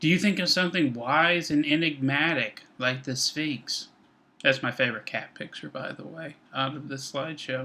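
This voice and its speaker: A man with a fairly high pitch and a bright, sharp tone talks at a moderate pace, showing ordinary pitch variation and big swings in loudness. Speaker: instructor. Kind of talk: recorded lecture. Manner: measured tone.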